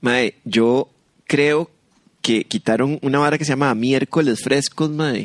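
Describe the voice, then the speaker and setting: A plain, everyday voice from a man, fairly high in pitch with ordinary pitch variation, dry and close with no echo. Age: 40s. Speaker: podcast co-host, comedian. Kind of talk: casual comedic chat.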